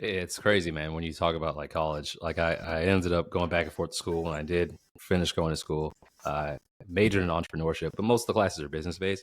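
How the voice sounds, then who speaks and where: A man with an American accent speaks at a very fast pace in a very deep, low pitch. The intonation is fairly even, and the recording is very clean with a silent background. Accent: proper, enunciated speech. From Boston. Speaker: podcast host. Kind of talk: casual interview chat.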